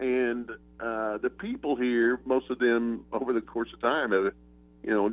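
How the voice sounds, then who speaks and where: In an American accent, a man with a medium-pitched voice talks at a fairly slow pace. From Oklahoma. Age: 60s. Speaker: retired sports journalist. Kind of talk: interview.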